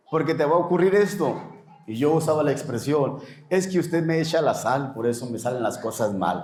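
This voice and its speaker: Talking at a moderate pace, a man uses a fairly high pitch and lively intonation. The recording has audible room echo and noticeable background noise. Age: 60s. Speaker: pastor. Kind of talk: interview.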